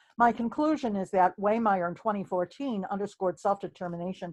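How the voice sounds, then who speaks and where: At a fairly quick pace, a woman speaks with medium pitch and ordinary pitch variation, in a dry, close sound with no echo over a quiet background. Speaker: researcher presenting a study. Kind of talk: research presentation. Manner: fast.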